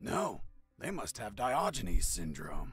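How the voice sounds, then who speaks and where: A man puts on a raspy character voice at a medium pitch. He goes at a fairly slow pace. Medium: video game.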